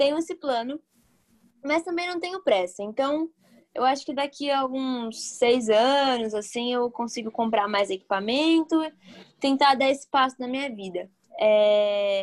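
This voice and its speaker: Her intonation lively and her pitch high, a woman speaks at a fairly slow pace. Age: 20s. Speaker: film sound technician. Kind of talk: casual interview chat.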